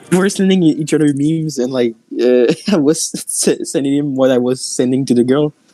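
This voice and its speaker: A man with a non-native accent speaks fairly quickly at a fairly high pitch, his tone dark and mellow, his loudness very even, and his pitch variation ordinary. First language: not English. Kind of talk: casual chat. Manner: halting.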